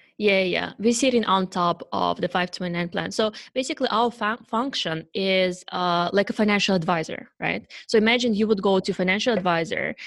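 A woman's medium-pitched voice with a Russian accent and vocal fry, moderate in pace with hardly any pauses and ordinary pitch variation, in a very clean recording with a silent background. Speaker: startup founder. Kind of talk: interview. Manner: halting.

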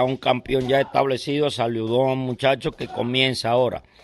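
The speaker talks in a monotone, flat intonation. Noticeable background noise runs under the voice. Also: man. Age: 60s. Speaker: boxing trainer. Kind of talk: interview. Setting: boxing gym. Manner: halting.

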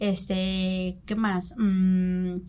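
The delivery is a flat monotone and somewhat breathy. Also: woman. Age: 20s. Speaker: nutritionist. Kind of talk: interview. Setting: studio.

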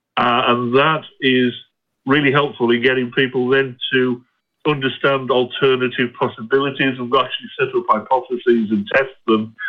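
With a British accent, a man speaks at medium pitch and a moderate pace. His intonation stays fairly even. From UK. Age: 50s. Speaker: caller, psychiatric nurse. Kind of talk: phone-in question. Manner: halting.

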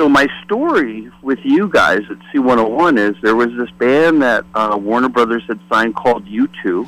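In an American accent, the speaker talks at a fairly slow pace with hardly any pauses. It is a plain, everyday voice with ordinary pitch variation. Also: man, medium pitch for a man. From US Midwest, Detroit. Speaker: former record promotion rep and podcaster. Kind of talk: casual interview chat.

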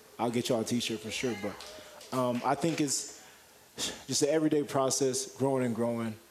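A man's voice, medium in pitch and fairly flat in intonation, comes through clear background noise. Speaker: college basketball player. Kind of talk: radio interview.

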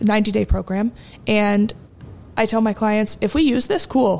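Using an unremarkable speaking voice, a woman with an American accent talks at a fairly slow pace and medium pitch with ordinary pitch variation. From New Jersey. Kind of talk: casual interview chat.

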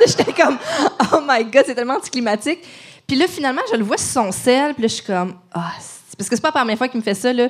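Noticeable background noise sits behind a woman's voice. Her pitch is high and her intonation lively. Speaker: podcast host. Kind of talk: casual chat. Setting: stage with audience.

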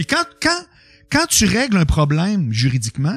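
In a Quebec accent, a man talks in a high, animated voice, recorded dry and close with no echo in a very clean recording with a silent background. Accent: Québécois French. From Quebec City, Quebec. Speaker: radio and TV personality. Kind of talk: casual chat. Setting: studio. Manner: animated, flamboyant delivery.

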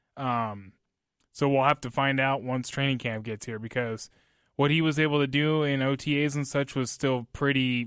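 A man speaks in a plain, everyday voice at a medium pitch and moderate pace, with fairly even intonation. The recording is very clean, with a silent background. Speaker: sports reporter. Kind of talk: radio sports talk show.

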